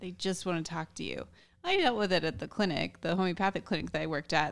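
In a very clean recording with a silent background, a woman has an unremarkable speaking voice at medium pitch, with ordinary pitch variation. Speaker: podcast co-host. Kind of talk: casual interview.

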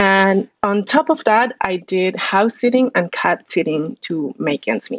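With a dry, close sound and no echo, a woman at a medium pitch talks fairly slowly, her pitch swinging very widely. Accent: Spanish. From Colombia, Bogota. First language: Spanish. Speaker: political science professor. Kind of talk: interview.

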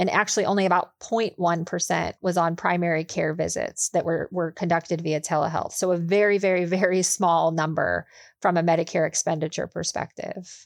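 A woman speaks at a medium pitch and moderate pace with fairly even intonation, in a normal speaking voice. The recording is very clean, with a silent background. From US, Pittsburgh area, Pennsylvania. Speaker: healthcare lawyer. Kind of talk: interview, expert explanation.

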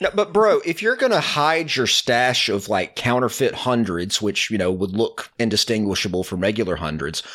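A man at a moderate pace with very wide pitch swings and hardly any pauses, on a very clean recording with a silent background. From Alabama. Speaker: writer and podcaster. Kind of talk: casual debate game show.

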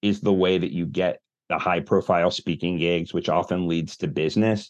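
A man's unremarkable speaking voice at a moderate pace, with ordinary pitch variation against a quiet background. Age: 40s. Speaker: marketing agency founder and author. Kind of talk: interview conversation.

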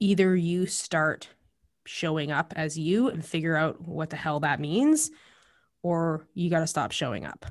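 In a Canadian accent, a woman with a plain, everyday voice talks fairly slowly at a fairly low pitch with ordinary pitch variation. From Alberta, Canada (Calgary, Lethbridge). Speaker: cookbook author and meal prep business owner. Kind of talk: casual interview chat.

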